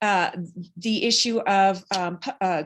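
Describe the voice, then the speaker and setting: In a normal speaking voice, a woman talks at a fairly slow pace with fairly even intonation. The background is quiet. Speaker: state senator. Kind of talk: legislative update speech.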